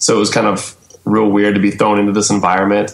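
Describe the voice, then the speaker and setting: A man talks at a moderate pace in an ordinary speaking voice, pitched fairly low. He has an American accent. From US South, Atlanta area. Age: 30s. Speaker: hardcore band vocalist and teacher. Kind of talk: casual interview chat. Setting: Skype video call.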